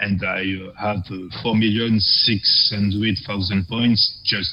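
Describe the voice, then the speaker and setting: A man with a fairly low pitch and fairly even intonation, amid noticeable background noise. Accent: strong non-native. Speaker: scoring run player presenting his videos. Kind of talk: commentary over gameplay video. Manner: halting, many fillers and restarts.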